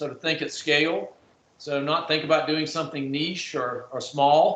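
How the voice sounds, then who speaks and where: A man at a fairly quick pace, fairly high in pitch, with fairly even intonation and noticeable background noise. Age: 60s. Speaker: technology marketer, panelist. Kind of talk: panel discussion.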